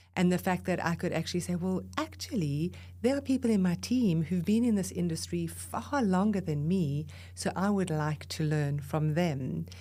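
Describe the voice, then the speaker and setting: A woman with a South African accent speaks in a very deep, low pitch with very wide pitch swings. Her tone is dark, mellow and somewhat breathy, and her loudness stays very even. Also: moderate pace. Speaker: breath leadership expert and voice coach. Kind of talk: podcast interview. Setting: podcast recording.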